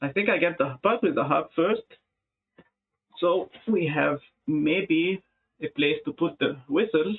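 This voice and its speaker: A man with an Arabic accent and high pitch speaks at a very slow pace with lively intonation. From Egypt. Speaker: music producer. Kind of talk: live stream chat. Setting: live stream. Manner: halting.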